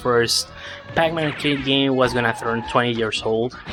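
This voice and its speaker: With music in the background, a man with a non-native accent speaks at a medium pitch and with fairly even intonation. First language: not English. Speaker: speedrunner. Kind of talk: live gameplay commentary. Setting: live stream.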